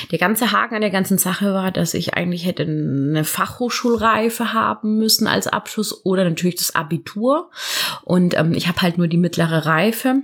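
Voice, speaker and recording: A woman's medium-pitched voice, an ordinary speaking voice with ordinary pitch variation. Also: fairly quick pace. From southern Germany, near Karlsruhe. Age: 30s. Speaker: midwife. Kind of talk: casual interview chat. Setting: at the guest's home.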